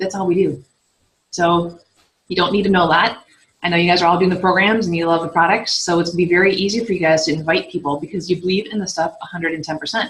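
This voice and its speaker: A woman speaks at a very fast pace with a medium pitch and fairly even intonation. Her voice is somewhat breathy. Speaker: fitness coach and team leader. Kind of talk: team training call. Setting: conference call.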